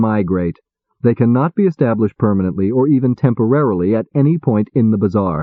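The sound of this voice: There is an unforced reading voice over a quiet background.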